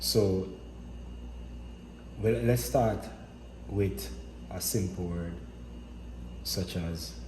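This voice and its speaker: Noticeable background noise surrounds a man with a very deep, low pitch and very wide pitch swings. He talks at a very slow pace, with long, frequent pauses. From Jamaica. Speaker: linguistics educator. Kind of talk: educational lecture.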